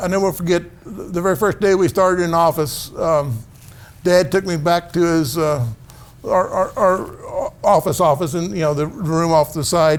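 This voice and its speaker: The voice is loud, with a Midwestern US accent. It moves at a moderate pace with ordinary pitch variation. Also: man, high pitch for a man. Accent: US Midwest. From Missouri, rural farming community. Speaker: family physician. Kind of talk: casual interview. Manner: gets louder when excited.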